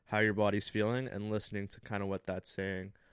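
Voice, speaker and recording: Over a quiet background, a man with a Canadian accent speaks at a moderate pace in an unremarkable speaking voice, fairly low in pitch, the sound dry and close with no echo. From Northern Ontario, Canada (Thunder Bay). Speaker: graphic designer and content creator. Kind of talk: casual chat.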